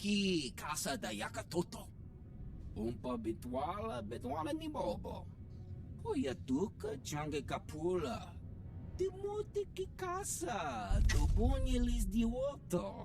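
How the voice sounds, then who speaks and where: A put-on character voice goes at a fairly slow pace over clear background noise. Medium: video game. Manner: speaks an alien language.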